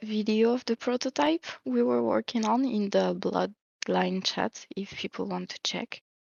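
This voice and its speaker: A woman speaks with a strong French accent. Her pace is fairly slow. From France. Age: 30s. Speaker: project manager and NFT co-founder. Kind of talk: interview.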